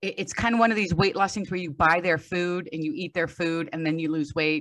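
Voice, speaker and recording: With an American accent, an unremarkable speaking voice goes along at a fairly quick pace, its intonation fairly even. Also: woman, fairly low pitch for a woman. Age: 60s. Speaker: strength coach. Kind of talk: podcast interview.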